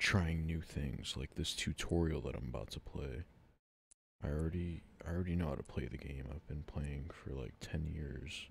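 At a moderate pace, a man speaks with a very deep, low pitch and vocal fry. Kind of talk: casual gameplay commentary. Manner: unscripted, stammering.

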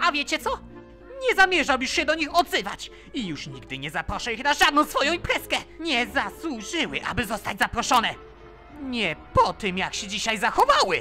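With clear music playing behind it, a cartoonish character voice talks at a fairly quick pace in a high pitch. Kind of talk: fan dub of cartoon scene.

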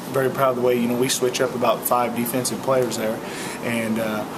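A man's speech comes at a fairly quick clip. Background noise is noticeable throughout. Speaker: high school softball coach. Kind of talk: interview answer. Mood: reflective after a loss. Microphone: webcam.

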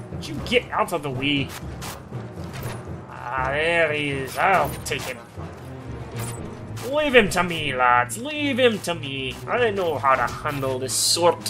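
A man's put-on character voice, fairly high in pitch and fairly slow, over clear background music. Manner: shouting, exasperated, bossy.

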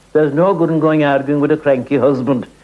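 The voice has an Irish accent and ordinary pitch variation. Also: man. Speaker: storyteller. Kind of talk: storytelling. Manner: animated.

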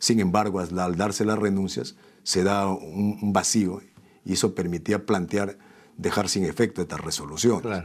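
A man with a fairly low voice speaks at a moderate pace. His intonation is fairly even, and the background is quiet. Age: 40s. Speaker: politician; politician, interview guest. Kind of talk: interview. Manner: halting. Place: studio. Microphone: lapel.

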